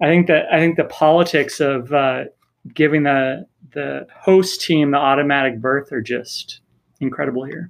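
At a moderate pace, a man with fairly high pitch talks in an unremarkable speaking voice with fairly even intonation. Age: 30s. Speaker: soccer supporters group leader and youth coach. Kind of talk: casual chat.

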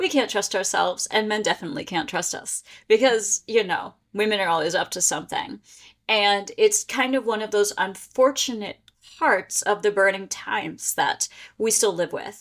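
An ordinary speaking voice with an American accent moves at a moderate pace with ordinary pitch variation. The recording is very clean with a silent background. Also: woman, fairly high pitch for a woman. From Pennsylvania. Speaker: history and paranormal tour guide. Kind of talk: casual interview.

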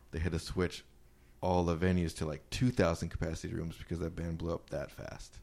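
A man speaks with a very deep, low pitch and fairly even intonation at a fairly quick pace. The recording is very clean, with a silent background. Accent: American. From Wisconsin. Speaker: indie rock band member. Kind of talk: casual chat. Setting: apartment in Brooklyn.

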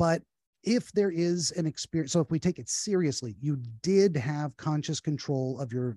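A man with a fairly high pitch and a dark, mellow tone speaks in a dry, close sound with no echo against a quiet background. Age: 40s. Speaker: dream analyst. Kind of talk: casual chat.

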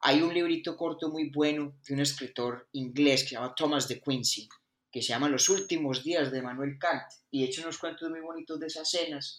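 A man with an ordinary speaking voice and fairly high pitch, at a moderate pace with fairly even intonation, in a very clean recording with a silent background. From Colombia (Bogotá / Caldas). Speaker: philosophy podcast co-host. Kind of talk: casual chat.

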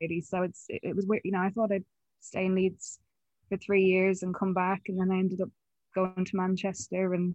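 Delivered at a fairly quick pace in an Irish accent, the speech has a monotone, flat intonation. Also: woman, medium pitch for a woman. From Ireland, County Mayo. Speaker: film and TV production worker. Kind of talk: interview.

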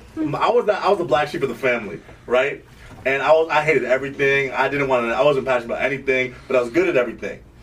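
Amid noticeable background noise, a man talks at a very fast pace in a fairly high pitch. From Sierra Leone, raised in Vermont. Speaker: musician. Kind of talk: casual chat. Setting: studio.

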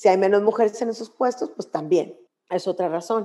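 Fairly quick and fairly high-pitched, a woman talks in a plain, everyday voice. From Mexico, Monclova (Coahuila). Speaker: lawyer and gender equity consultant. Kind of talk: interview.

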